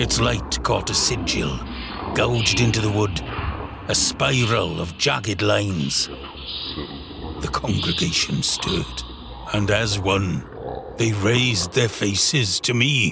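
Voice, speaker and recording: Over music in the background, a man with a fairly low pitch speaks at a very slow pace, his pitch swinging very widely between long, frequent pauses. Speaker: voice actor. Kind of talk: horror story narration.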